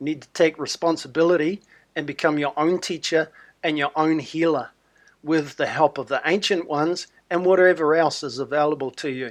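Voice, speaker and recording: Someone with a New Zealand accent talks at a fairly quick pace with fairly even intonation. The background is quiet. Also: man, fairly high pitch for a man. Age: 60s. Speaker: wellness promoter. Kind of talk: sales pitch.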